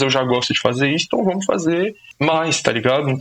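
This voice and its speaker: A normal speaking voice with ordinary pitch variation at a fairly quick pace. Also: man. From Brazil, São Paulo (Zona Norte, Brasilândia). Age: 20s. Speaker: social sciences student and YouTuber. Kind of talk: casual podcast conversation.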